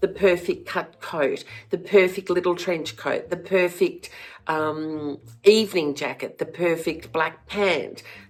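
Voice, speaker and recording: In an Australian accent, a woman talks at a very slow pace, fairly low in pitch with fairly even intonation. The recording is very clean, with a silent background. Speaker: former fashion stylist, flower farmer. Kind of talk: casual talk to camera.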